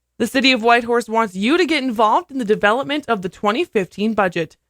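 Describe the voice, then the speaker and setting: A woman with a plain, everyday voice, lively intonation, and a fairly quick pace, in a dry, close sound with no echo. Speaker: radio news and sports anchor. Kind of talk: radio news anchor read.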